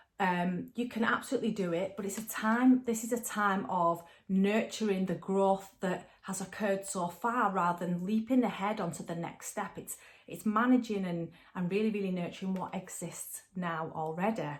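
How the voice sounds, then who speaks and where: A woman talks at a moderate pace with a medium pitch. Her pitch varies in an ordinary way. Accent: north-west English. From northern England. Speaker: tarot and angel card reader. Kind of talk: spiritual card reading guidance. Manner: casual, chatty with fillers.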